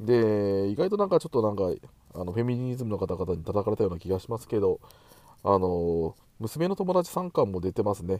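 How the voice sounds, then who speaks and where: At a fairly quick pace, a man with a fairly low pitch and a dark, mellow tone speaks with lively intonation. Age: middle-aged. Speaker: podcast host. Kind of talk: casual chat. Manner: hesitant, many fillers.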